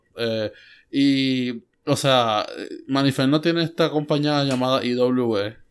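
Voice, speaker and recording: An ordinary speaking voice, with fairly even intonation, moves at a fairly slow pace. It comes through in a very clean recording with a silent background. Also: man. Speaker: wrestling podcast co-host. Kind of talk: casual chat.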